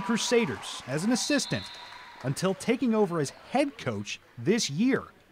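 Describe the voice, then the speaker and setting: A man's high voice comes through noticeable background noise. His pitch swings very widely. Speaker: news reporter. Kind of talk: TV news feature narration.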